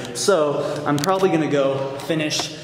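A man is speaking. Room echo is audible. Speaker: fitness vlogger. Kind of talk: casual vlog chat. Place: gym. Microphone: phone near.

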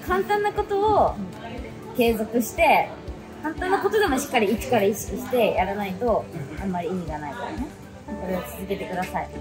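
A woman talks fairly quickly while clear music plays behind her. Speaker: camp host interviewing juniors. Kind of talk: casual interview questions and encouragement. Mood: cheerful, encouraging. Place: gym. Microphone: phone near.

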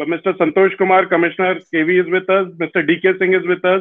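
Over a quiet background, a man talks fairly quickly at a high pitch with a monotone, flat intonation. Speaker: host. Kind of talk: formal welcome speech. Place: home room. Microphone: earbuds.

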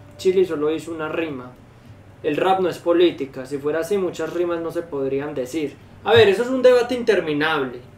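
A high-pitched man with a Colombian accent, fairly quick with lively intonation, amid audible room echo and light background noise. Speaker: reaction streamer. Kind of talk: casual reaction chat. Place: home room.

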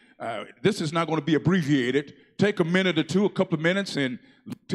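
This man talks very fast in a fairly high pitch, with a warm, upbeat tone and ordinary pitch variation. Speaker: church announcer and worship leader. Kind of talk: church announcements. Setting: church. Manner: warm, upbeat, leads the congregation in responses. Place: church. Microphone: handheld.

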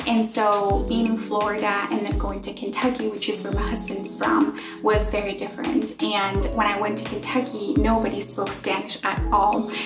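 Over clear music in the background, a woman talks at a moderate pace with hardly any pauses. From Spain. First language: Spanish. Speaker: English teacher. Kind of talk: casual talk to camera. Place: home room. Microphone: phone near.

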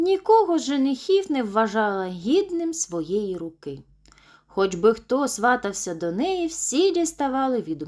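A plain read-aloud delivery

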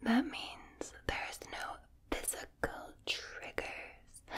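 A woman is speaking. She whispers. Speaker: video creator. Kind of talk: soft spoken relaxation video chat. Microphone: studio mic.

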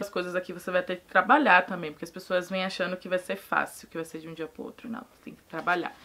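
Talking at a very fast pace, a woman sounds animated, with a bright, sharp tone. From Salvador, Bahia, Brazil; Bahia, Brazil. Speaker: immigrant interviewee; interviewee. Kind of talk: casual chat. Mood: animated, humorous. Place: home room.

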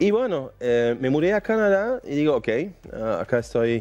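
Speaking with a German accent, a man with a dark, mellow tone moves at a fairly slow pace with ordinary pitch variation. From Germany, near Düsseldorf; Germany. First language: German (speaking Spanish). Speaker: mining company executive; interview guest. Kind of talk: interview. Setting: studio. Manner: halting. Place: studio. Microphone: headset.

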